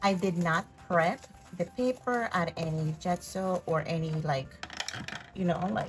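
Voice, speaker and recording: Fairly slow speech with long, frequent pauses and a non-native accent, over noticeable background noise. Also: woman, fairly low pitch for a woman, ordinary pitch variation. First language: not English. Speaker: craft youtuber. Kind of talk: craft tutorial. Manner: casual, chatty.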